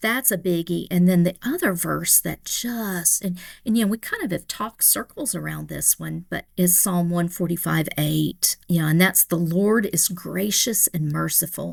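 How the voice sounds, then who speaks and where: On a very clean recording with a silent background, a woman with a Tennessee accent talks at a moderate pace with hardly any pauses. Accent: Tennessee, Southern US. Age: 60s. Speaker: pastor. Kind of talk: podcast interview.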